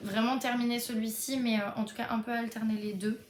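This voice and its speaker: A woman with a fairly high voice talks while noticeable background noise carries on. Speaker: book vlogger. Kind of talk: casual vlog. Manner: hesitant, many fillers.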